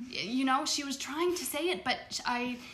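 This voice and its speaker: Raising and projecting her voice, a woman speaks at a high pitch and moderate pace with ordinary pitch variation. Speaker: podcast co-host. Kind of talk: casual chat.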